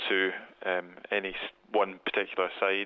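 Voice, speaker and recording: A man's fairly low-pitched voice. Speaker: museum curator, Egyptologist. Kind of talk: interview. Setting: phone call. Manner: hesitant, repeats words.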